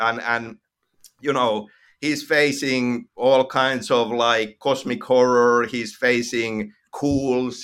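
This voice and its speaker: On a very clean recording with a silent background, a man with a Finnish accent speaks at a very slow pace and medium pitch. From Finland. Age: 50s. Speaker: video game writer. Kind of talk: interview. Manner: halting.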